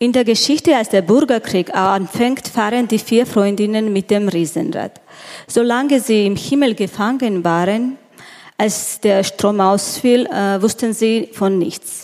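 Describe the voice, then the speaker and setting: Her loudness very even, a woman speaks very slowly at a fairly high pitch with ordinary pitch variation. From Georgia. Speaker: event moderator, journalist. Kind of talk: onstage interview. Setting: stage with audience. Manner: halting.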